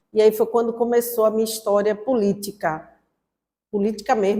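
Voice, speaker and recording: A woman speaks in a fairly high pitch. The recording is very clean, with a silent background. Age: 60s. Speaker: former student activist, interviewee. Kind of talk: documentary interview testimony. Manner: halting, with fillers.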